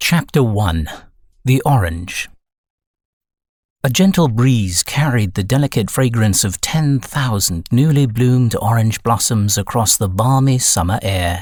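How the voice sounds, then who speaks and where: A man with a British accent sounds somewhat breathy at a fairly slow pace. The recording is very clean, with a silent background. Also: medium pitch for a man. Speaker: voice actor. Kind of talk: audiobook narration.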